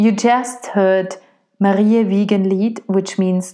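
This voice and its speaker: A woman at medium pitch with a German accent. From Austria. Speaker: opera singer and podcast host. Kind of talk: solo podcast monologue.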